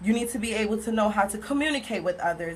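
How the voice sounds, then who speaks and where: With noticeable background noise, a woman with an American accent talks at a fairly quick pace in a medium pitch. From Pompano Beach, Florida. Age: 20s. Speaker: college student. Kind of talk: class speech. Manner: fast.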